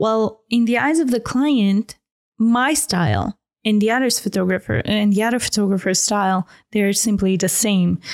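A woman with a non-native accent speaks at a moderate pace and a fairly high pitch, with ordinary pitch variation and very even loudness. The recording is very clean, with a silent background. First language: not English. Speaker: fashion photographer and podcast host. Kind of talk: interview.

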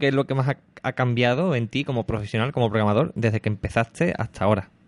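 A man's ordinary speaking voice at a medium pitch, dry and close with no echo, over a quiet background. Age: 30s. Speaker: podcast host. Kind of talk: casual interview.

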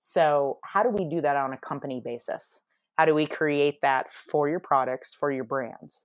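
Over a silent background on a very clean recording, a woman speaks with an American accent. Her very deep, low voice moves at a moderate pace with ordinary pitch variation. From United States. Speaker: marketing executive. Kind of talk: interview.

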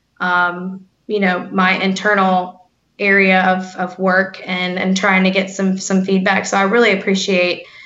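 A woman with an American accent speaks at a moderate pace and a medium pitch. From North Carolina, US. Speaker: tech sales rep. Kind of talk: interview. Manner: halting, frequent repeats.

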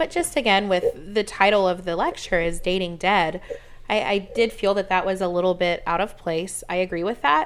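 A woman with a medium pitch and a normal speaking voice talks at a moderate pace with fairly even intonation. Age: 30s. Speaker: podcast co-host. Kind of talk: casual chat.

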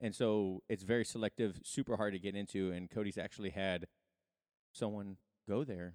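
In a very clean recording with a silent background and a dry, close sound with no echo, a man with an unremarkable speaking voice talks at a fairly low pitch and moderate pace, with fairly even intonation. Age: 40s. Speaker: podcast host and jiu-jitsu practitioner. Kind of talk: casual interview chat.

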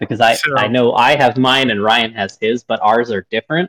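A man with a plain, everyday voice talks at a medium pitch and a fairly quick pace, the sound dry and close with no echo. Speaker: podcast host. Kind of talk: casual interview.

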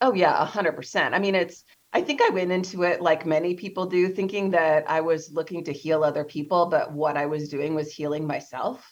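Speaking at a moderate pace with hardly any pauses, a woman uses an unremarkable speaking voice with a fairly low pitch and fairly even intonation. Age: 40s. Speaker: abortion survivor advocate. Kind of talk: interview.

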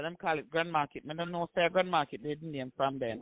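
A man with a strong Jamaican accent. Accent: Jamaican patois, strong.

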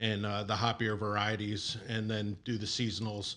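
A man's normal speaking voice at a medium pitch and a moderate pace. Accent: American. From New York, Long Island. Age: 40s. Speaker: brewing operations director. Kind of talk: casual interview.

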